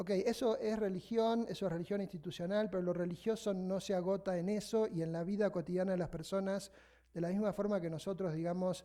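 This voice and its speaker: With a Buenos Aires accent, a man talks at a fairly quick pace and fairly even intonation. His high-pitched voice has a dark, mellow tone. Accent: Buenos Aires Spanish (porteño). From Argentina, Buenos Aires. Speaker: sociologist of religion, invited lecturer. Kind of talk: academic lecture. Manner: fast.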